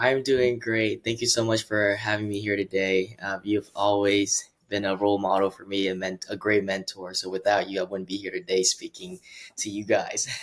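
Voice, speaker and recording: In a Vietnamese accent, a man with a fairly low pitch speaks with hardly any pauses in a monotone, flat intonation. The recording is very clean, with a silent background. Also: moderate pace. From Vietnam and Seattle, then Dallas from high school. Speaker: real estate agent. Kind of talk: interview.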